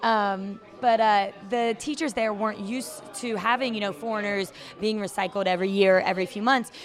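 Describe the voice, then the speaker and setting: A woman with an American accent speaks in an unremarkable speaking voice, medium-pitched, at a fairly quick pace with fairly even intonation. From Virginia, US (Chesapeake/Norfolk). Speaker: traveling English teacher. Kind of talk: casual interview chat. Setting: outdoors at open-air hostel.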